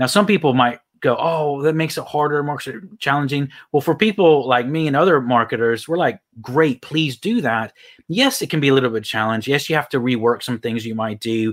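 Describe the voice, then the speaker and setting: A man with an American accent, fairly high-pitched, at a fairly quick pace with ordinary pitch variation. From US Texas. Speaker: LinkedIn coach. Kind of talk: casual interview.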